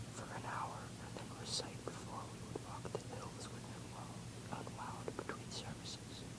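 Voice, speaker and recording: Noticeable background noise sits under a whisper delivered at a moderate pace. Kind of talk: ASMR book reading. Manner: whispered, soft-spoken.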